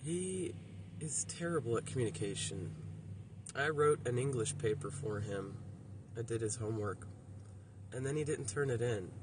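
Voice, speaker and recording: A man with an American accent talks at a moderate pace and medium pitch, with ordinary pitch variation. Long, frequent pauses break up his speech, and the room has an audible echo. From Miami, Florida. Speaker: vlogger. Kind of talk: casual vlog monologue. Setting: outdoors by the roadside. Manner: halting, affected by brain injury.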